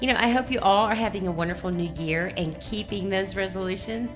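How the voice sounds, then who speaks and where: Over music in the background, a woman with an upbeat tone and medium pitch talks at a fairly quick pace. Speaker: podcast host. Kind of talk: podcast intro.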